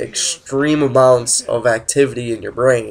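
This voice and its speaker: Noticeable background noise sits behind a man's medium-pitched voice. He keeps his intonation fairly even. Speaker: gaming youtuber. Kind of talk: casual commentary over gameplay. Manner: casual, filler-heavy.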